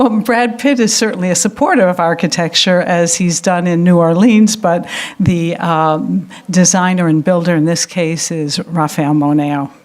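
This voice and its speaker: Over noticeable background noise, a woman speaks at a moderate pace in a fairly low pitch with ordinary pitch variation. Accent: American. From United States. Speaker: architecture prize director, lecturer. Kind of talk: lecture. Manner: hesitant, many fillers.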